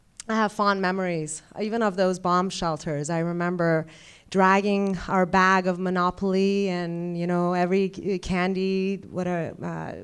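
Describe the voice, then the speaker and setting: In a very clean recording with a silent background, a woman speaks at medium pitch in a Persian accent with monotone, flat intonation. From Iran. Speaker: ophthalmologist. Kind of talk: speech. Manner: halting.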